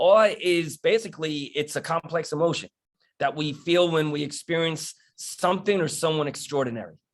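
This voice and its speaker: In a New York accent, a man speaks at a moderate pace with a fairly high pitch and ordinary pitch variation. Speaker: police wellness and resilience speaker. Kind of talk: panel talk. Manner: halting, with false starts.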